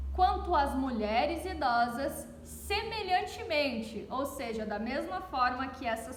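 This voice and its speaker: A woman's high, warm voice in a southern Brazilian accent, fairly slow, with very wide pitch swings. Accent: gaúcho (southern Brazilian). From southern Brazil (Rio Grande do Sul). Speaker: pastor's wife giving a Bible reflection. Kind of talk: devotional Bible reflection. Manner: warm, conversational.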